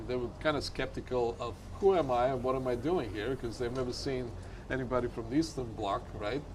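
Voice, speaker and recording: Audible room echo surrounds a man speaking very fast at a medium pitch with ordinary pitch variation. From Bulgaria. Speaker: winemaker. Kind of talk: casual chat.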